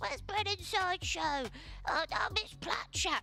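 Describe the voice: Someone does a put-on character voice at an extremely high pitch and a fairly slow pace, with clear background noise.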